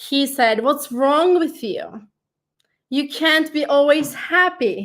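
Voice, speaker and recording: In a Turkish accent, a woman with a high pitch and ordinary pitch variation speaks at a very slow pace on a very clean recording with a silent background. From Turkey. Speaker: life coach and digital marketing consultant. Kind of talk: interview.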